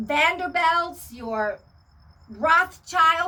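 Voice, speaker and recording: A woman's raised, projected voice, extremely high in pitch, with a bright, sharp tone and lively intonation. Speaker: spiritual video channel host. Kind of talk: monologue to camera. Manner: animated.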